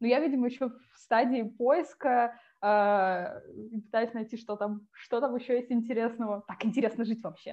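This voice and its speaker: Speaking at a moderate pace, a woman holds a fairly even intonation in a fairly high pitch. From Siberia, Russia (Tomsk). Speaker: UX writer, former journalist. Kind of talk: interview conversation.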